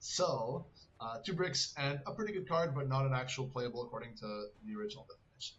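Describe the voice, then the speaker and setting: A man with a fairly high pitch talks at a fairly quick pace with lively intonation. Noticeable background noise runs behind him. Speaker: gaming content creator. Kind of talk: gameplay tutorial commentary. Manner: fast.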